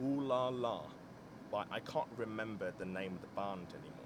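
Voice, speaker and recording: Very wide pitch swings from a man at a moderate pace. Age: 20s. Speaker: solo vlogger. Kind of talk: casual monologue. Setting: in a car.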